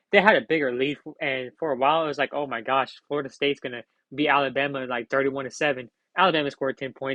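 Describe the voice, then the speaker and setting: A man at a very fast pace, dry and close with no echo. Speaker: sports commentary youtuber. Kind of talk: solo commentary video. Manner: casual, with fillers.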